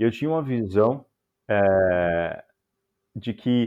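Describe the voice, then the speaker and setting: Here a man talks at a very slow pace. His pitch varies in an ordinary way. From São Paulo, Brazil. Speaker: software engineer. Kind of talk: casual chat.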